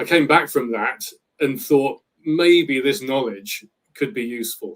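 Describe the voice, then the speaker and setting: Speaking at a fairly slow pace with a British accent, a man uses a fairly high pitch and lively intonation. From Britain. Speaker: travel planner. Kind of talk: interview.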